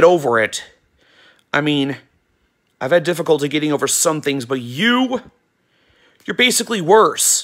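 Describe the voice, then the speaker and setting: A man speaks angrily at a fairly high pitch, with lively intonation and a moderate pace. Long, frequent pauses break his speech against a quiet background. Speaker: YouTube vlogger. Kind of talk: angry rant aimed at a banned user, mixed with a casual channel announcement. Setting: home video recording, weather radio on wall. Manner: angry, emphatic, sarcastic, scolding with stressed words and shouted lines; rambling, repeats words and restarts sentences. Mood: annoyed, ranting. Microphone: phone near.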